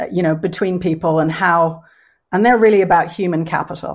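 A fairly quick voice in an Irish accent against a quiet background. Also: woman. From Ireland, Dublin. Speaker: economic historian. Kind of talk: panel discussion.

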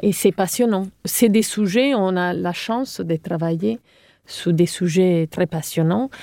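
In an Italian accent, the dark, mellow voice moves at a very slow pace, with a dry, close sound and no echo. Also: woman. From Sardinia, Italy (Cagliari). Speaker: architect. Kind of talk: interview.

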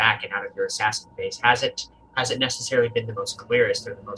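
This is an unforced reading voice. It sounds natural and unstrained.

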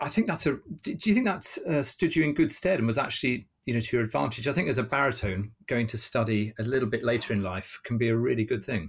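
Talking at a very fast pace with a British accent, the voice has lively intonation. It sounds somewhat breathy. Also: man. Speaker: conductor and singer. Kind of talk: casual chat. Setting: video call.

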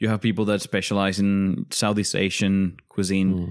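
The man speaks in a monotone, flat delivery with a Spanish accent. His recording is very clean, with a silent background. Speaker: cook, former cooking contestant. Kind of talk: casual chat.

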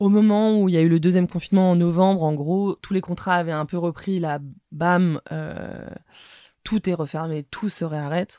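Her voice has a fairly low pitch and a dark, mellow tone. This woman speaks at a moderate pace with fairly even intonation. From Paris. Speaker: media founder. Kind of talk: interview. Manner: hesitant, many fillers.

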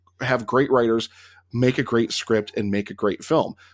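Over a very clean recording with a silent background, a man with an American accent speaks at a moderate pace in a normal speaking voice, his medium pitch showing ordinary variation. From Pennsylvania, US. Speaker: film podcaster. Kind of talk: casual chat.

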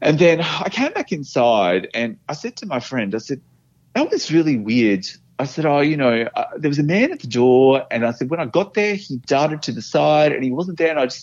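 With an Australian accent, a man speaks at a moderate pace with a fairly high pitch and lively intonation. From Australia, Brisbane. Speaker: office worker sharing paranormal experiences. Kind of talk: personal storytelling interview. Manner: halting.

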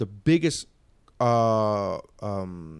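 A man's medium-pitched voice with lively intonation, on a very clean recording against a silent background. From Miami. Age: 40s. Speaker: comedian. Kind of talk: casual chat. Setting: studio.

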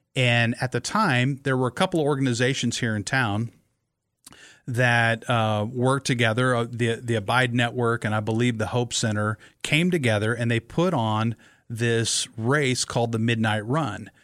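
At a moderate pace, a man speaks at a medium pitch with fairly even intonation and very even loudness. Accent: Midwestern US. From Nebraska. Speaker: amateur marathon runner. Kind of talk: casual chat. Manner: halting.

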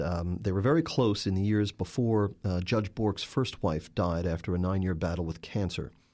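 At a fairly slow pace, a man with an unremarkable speaking voice talks in a fairly low pitch with ordinary pitch variation. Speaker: journalist and author. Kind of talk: interview.

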